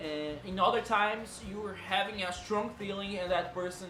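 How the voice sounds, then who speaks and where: Over music in the background, a man with a Brazilian accent speaks at a moderate pace in a high pitch. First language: Portuguese. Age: 20s. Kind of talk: casual talk to camera.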